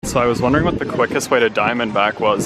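Over loud background noise, a man speaks with a dry sound that has no echo. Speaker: travel vlogger. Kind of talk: casual vlog chat. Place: street. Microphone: phone near.

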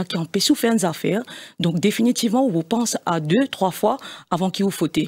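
Somewhat breathy, a woman speaks at a moderate pace with lively intonation against a quiet background. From Mauritius. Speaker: party executive member; guest. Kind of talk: political debate interview. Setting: studio. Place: studio. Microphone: studio mic.

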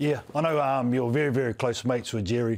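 This man speaks with a New Zealand accent at a moderate pace. His pitch varies in an ordinary way. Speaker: sports podcast host. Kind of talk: interview. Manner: casual. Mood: warm, reminiscing, joking. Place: studio. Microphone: studio mic.

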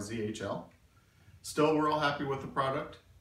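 A man speaks with fairly even intonation. Some room echo can be heard. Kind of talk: tutorial vlog. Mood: calm, friendly, modest.

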